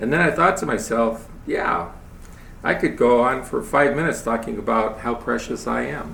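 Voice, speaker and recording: A man's moderate-paced speech carries audible room echo along with noticeable background noise. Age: 70s. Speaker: lay speaker giving a spiritual talk. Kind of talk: sermon.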